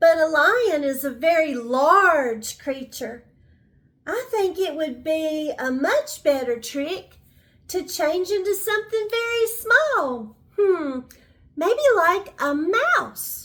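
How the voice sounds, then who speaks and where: A woman does a put-on character voice, squeaky and extremely high in pitch. She speaks at a very slow pace. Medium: read story. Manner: smooth, scheming.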